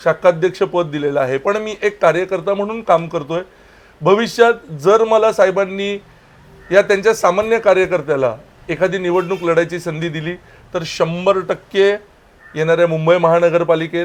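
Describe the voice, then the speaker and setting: A man's voice rides high in pitch, rising and falling in an ordinary way. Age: 30s. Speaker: local party official. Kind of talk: political interview.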